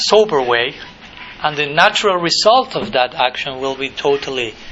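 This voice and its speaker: A man with a fairly high-pitched voice talks over noticeable background noise. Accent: Spanish. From Argentina. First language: Spanish. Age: 30s. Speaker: monk and spiritual teacher. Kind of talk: lecture. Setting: college lecture hall with audience.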